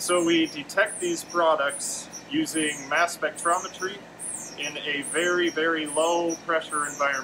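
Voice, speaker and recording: A man with an American accent talks at a moderate pace and fairly even intonation. Noticeable background noise runs behind him. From US Midwest, Wisconsin. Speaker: chemistry grad student. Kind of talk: lab tour explanation. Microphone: phone near.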